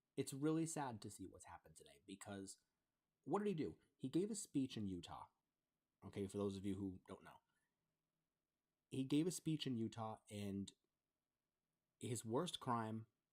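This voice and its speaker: At a fairly slow pace, a man with an American accent and medium pitch speaks with very wide pitch swings. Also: long, frequent pauses. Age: 30s. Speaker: gaming streamer. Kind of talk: live stream monologue. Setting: live stream. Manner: halting.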